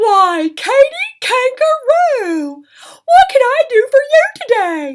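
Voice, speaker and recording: In a put-on character voice, a woman squeaks at an extremely high pitch with very wide pitch swings and a very slow pace. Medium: read story.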